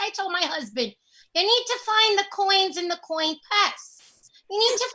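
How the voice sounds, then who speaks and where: At a moderate pace, a woman delivers a put-on character voice. It is squeaky and extremely high in pitch. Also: lively intonation. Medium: stage play. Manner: folksy, scolding yet mischievous.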